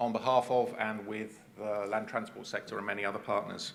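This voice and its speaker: A man with a southern English accent speaks at a fairly quick pace with fairly even intonation. Audible room echo and noticeable background noise fill the recording. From England (Cambridge). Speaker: transport agency manager. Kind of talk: conference presentation. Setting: stage with audience.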